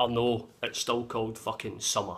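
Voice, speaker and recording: Speaking at a moderate pace, a man talks with a Glaswegian accent. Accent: Glaswegian Scottish. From Glasgow, Scotland. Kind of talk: casual talk to camera. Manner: profane, blunt. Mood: cheeky, sweary, animated. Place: home room. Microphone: phone near.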